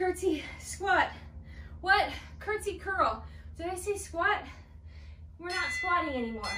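Amid audible room echo and light background noise, a woman speaks at a fairly slow pace. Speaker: fitness instructor. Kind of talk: workout class cueing. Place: empty room.

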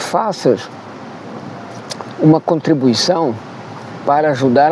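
At a very slow pace, a man speaks with ordinary pitch variation in a dry sound with no echo, over light background noise. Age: 70s. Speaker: content creator, digital nomad. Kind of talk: crowdfunding appeal to camera. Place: waterside. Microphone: lapel.

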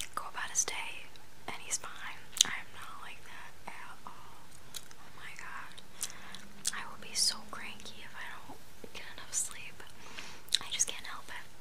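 She whispers, leaving long, frequent pauses. The woman's pace is fairly slow. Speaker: vlogger. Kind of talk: casual vlog chat. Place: home room. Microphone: phone near.

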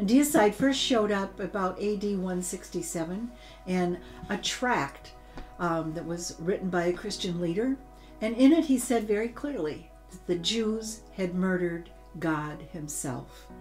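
A woman at a fairly slow pace, faint music in the background. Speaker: teacher. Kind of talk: teaching talk. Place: home room.

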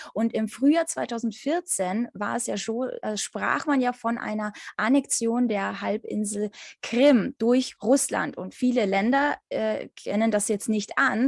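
A woman speaks at a very slow pace in a fairly high pitch with ordinary pitch variation, her voice dry with no echo over a quiet background. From Ukraine. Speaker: interviewer. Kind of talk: interview. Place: home room. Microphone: video call.

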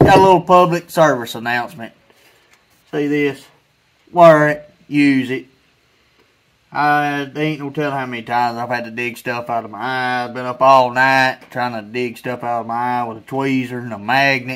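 Big swings in loudness at a moderate pace, with ordinary pitch variation. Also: man. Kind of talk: casual workshop tutorial chat. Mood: earnest safety advice. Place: garden.

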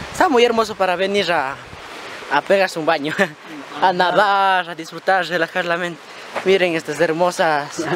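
A man with a high pitch talks at a moderate pace, leaving long, frequent pauses. The sound is dry with no echo, over light background noise. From Ecuador, rural highlands. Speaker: vlogger. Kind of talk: casual vlog narration. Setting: outdoors. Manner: animated.

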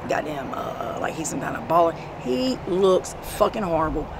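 A woman at a fairly low pitch with ordinary pitch variation and a moderate pace, dry with no echo, over noticeable background noise. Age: 40s. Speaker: street interviewee recounting drug relapse; interviewee. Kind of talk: street interview. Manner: animated. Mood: angry, venting. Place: street. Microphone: phone near.

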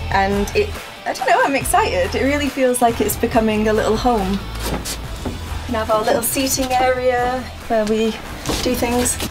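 With clear music behind her, a woman talks at a moderate pace. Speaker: van build vlogger. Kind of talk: casual vlog chat. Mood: excited. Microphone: camera far.

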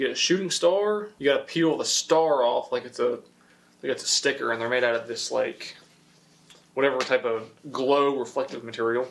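A man's fairly quick, lively-intoned speech over light background noise. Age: 20s. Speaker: youtuber. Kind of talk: unboxing video; casual unboxing commentary. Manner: casual, filler-heavy. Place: garage.

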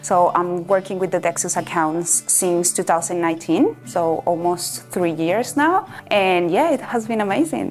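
A woman's fairly low-pitched voice in a Venezuelan accent, upbeat in tone with hardly any pauses, with faint music in the background. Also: ordinary pitch variation, moderate pace, very even loudness. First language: Spanish. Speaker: portfolio facilities manager. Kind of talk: corporate employee profile interview answer. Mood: cheerful, upbeat. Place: office. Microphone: lapel.

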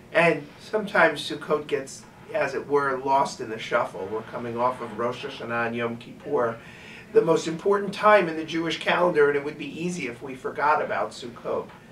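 Talking at a fairly quick pace, a man makes big swings in loudness over light background noise. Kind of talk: weekly religious message. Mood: calm, warm. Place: office.

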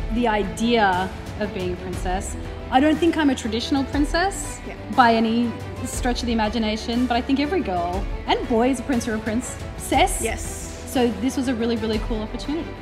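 Over clear music in the background, a woman speaks at a fairly quick pace. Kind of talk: casual interview chat. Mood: warm, admiring, playful. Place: studio.

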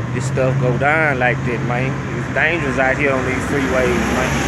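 A man at a moderate pace, with a dry sound with no echo and loud background noise. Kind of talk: casual commentary. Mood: earnest, impressed. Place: street. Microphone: phone near.

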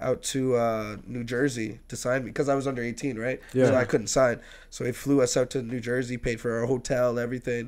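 A man talks at a fairly quick pace with hardly any pauses. His intonation is monotone and flat. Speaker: podcast guest. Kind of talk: interview answer. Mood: relaxed, storytelling, laughing. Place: studio. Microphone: studio mic.

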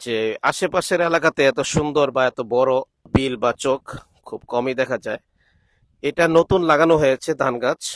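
A man speaks in an ordinary speaking voice, pitched fairly high with ordinary pitch variation. The sound is dry and close, with no echo. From Bangladesh, Brahmanbaria (Nabinagar). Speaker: vlogger and Islamic cleric. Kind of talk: travel vlog narration. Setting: outdoors in rice fields.

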